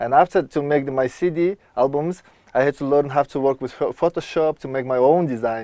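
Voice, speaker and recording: Recorded dry and close with no echo, a man talks at a fairly quick pace in a dark, mellow tone, his fairly high pitch varying in an ordinary way. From Mongolia. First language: Mongolian. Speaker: electronic music producer and world traveler. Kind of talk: TV interview. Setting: outdoors at a river resort. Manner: halting, searching for English words.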